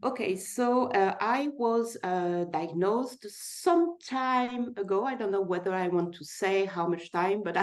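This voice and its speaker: The speaker talks fairly slowly with a French accent and lively intonation. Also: woman. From France. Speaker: person living with type 1 diabetes sharing her story. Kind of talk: personal testimony in a webinar.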